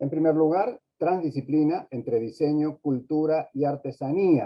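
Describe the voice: A man speaks at a fairly slow pace in a fairly high pitch, with a slightly husky edge. His pitch varies in an ordinary way.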